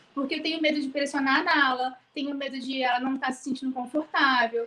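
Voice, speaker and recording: A woman's high-pitched voice, flat and monotone. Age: 30s. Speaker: pregnant trainee. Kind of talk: casual chat.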